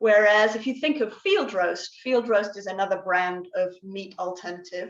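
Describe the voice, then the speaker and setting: A woman with an English accent, medium pitch, ordinary pitch variation and a fairly slow pace. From England. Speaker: guest speaker on plant-based diet. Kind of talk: educational talk. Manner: hesitant, many fillers.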